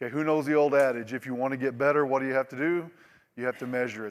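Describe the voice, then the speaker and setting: A man with an American accent speaks at a very fast pace, his medium-pitched voice keeping a fairly even intonation. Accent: Oklahoma accent (self-described, joking). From Oklahoma. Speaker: industry presenter. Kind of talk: conference presentation. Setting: stage with audience. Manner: casual, repetitive with false starts.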